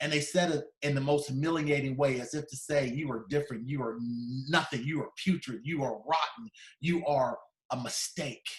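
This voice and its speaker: In an animated tone, a man talks at a moderate pace, his somewhat breathy voice fairly high in pitch with ordinary pitch variation. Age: 50s. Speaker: motivational speaker. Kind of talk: keynote speech telling a personal story. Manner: animated storytelling.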